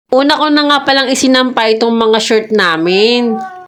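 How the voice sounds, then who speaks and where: Audible room echo colors the recording. Her words, as a woman, come at a fairly quick pace. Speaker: vlogger. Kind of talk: voice-over vlog narration.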